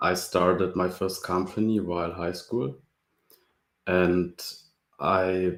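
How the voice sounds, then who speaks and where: Very slowly and with fairly even intonation, a man speaks at a very deep, low pitch over a silent background on a very clean recording. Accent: German. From Germany. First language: German. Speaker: open source library creator, student. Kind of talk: casual interview.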